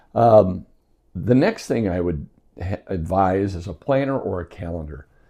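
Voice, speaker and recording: With an American accent, a man talks in a very deep, low pitch and a dark, mellow tone, using ordinary pitch variation over a quiet background. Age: 60s. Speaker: health vlogger. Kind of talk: casual tutorial.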